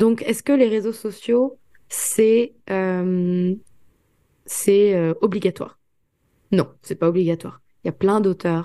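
A woman speaks at a very slow pace with a medium pitch. Her tone is dark and mellow, with ordinary pitch variation. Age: 20s. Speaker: author and student. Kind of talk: interview. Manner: hesitant fillers.

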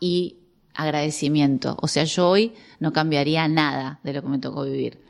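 A woman speaks in a normal speaking voice. The background is quiet. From Argentina. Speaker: biologist and biodecoding therapist. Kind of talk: interview conversation.

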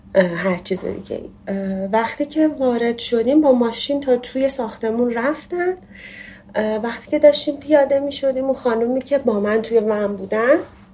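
A woman's high-pitched voice with ordinary pitch variation, against noticeable background noise. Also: moderate pace. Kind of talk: testimony.

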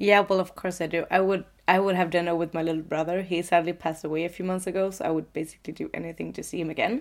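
On a very clean recording with a silent background, a woman with a Swedish accent speaks at a very fast pace and a fairly low pitch, with hardly any pauses and fairly even intonation. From Sweden, coastal city. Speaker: podcast co-host. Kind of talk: casual chat. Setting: sitting in a loft bed.

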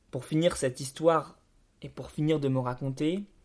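The recording is very clean with a silent background. A man speaks at a fairly quick pace with monotone, flat intonation. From France, Bordeaux suburbs. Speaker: podcast host. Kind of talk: scripted narration.

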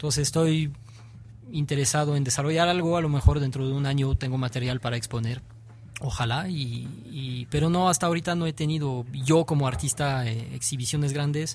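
A man with a French accent, fairly high pitch, fairly quick pace, and fairly even intonation. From France. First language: French (speaking Spanish). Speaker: graffiti artist. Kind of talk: interview. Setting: radio studio. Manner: halting.

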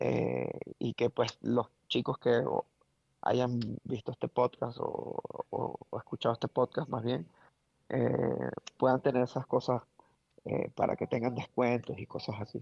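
Long, frequent pauses fill a man's fairly slow speech. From Venezuela, Caracas. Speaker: wedding photographer, former photojournalist. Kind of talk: interview conversation. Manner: halting, many repetitions.

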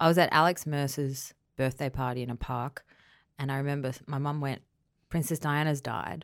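In an Australian accent, a woman speaks at a fairly quick pace with a very deep, low pitch and fairly even intonation. The recording is very clean, with a silent background. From Queensland, Australia. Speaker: comedy writer and director. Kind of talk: casual chat.

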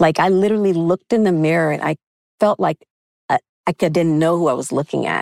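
Dry and close with no echo, the recording carries a woman with a normal speaking voice, a fairly low pitch and ordinary pitch variation. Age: 50s. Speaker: nutritionist and fertility coach. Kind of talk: podcast interview.

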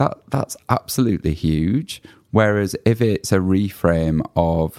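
A man with a British accent uses lively intonation, in a dry, close sound with no echo on a very clean recording with a silent background. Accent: UK English. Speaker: podcast host. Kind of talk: casual interview chat.

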